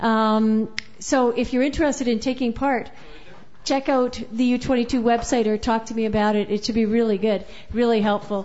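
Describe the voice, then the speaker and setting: A woman with a normal speaking voice, fairly high in pitch, at a moderate pace with fairly even intonation. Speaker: open mic host. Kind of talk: casual live hosting, MC banter. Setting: live coffee house with audience.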